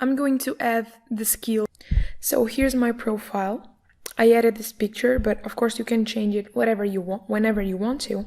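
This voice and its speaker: With a Portuguese accent, a woman speaks at a fairly high pitch in a dark, mellow tone. Her pace is moderate and her intonation fairly even. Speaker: online course instructor. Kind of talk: screen-recorded tutorial.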